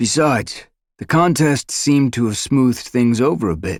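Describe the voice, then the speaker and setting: Using a put-on character voice, a man speaks at a medium pitch and moderate pace with lively intonation, in a very clean recording with a silent background. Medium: read story. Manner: calm, measured.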